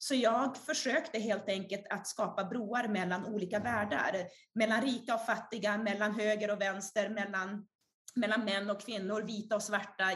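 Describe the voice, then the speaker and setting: This is an unremarkable speaking voice. It keeps a moderate pace and fairly even intonation. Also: woman. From Sweden. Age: 30s. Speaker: author and speaker. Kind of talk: interview.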